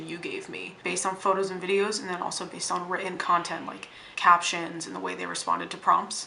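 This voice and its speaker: A woman's fairly low, animated voice at a very fast pace, with audible room echo and noticeable background noise. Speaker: vlogger. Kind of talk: casual vlog monologue.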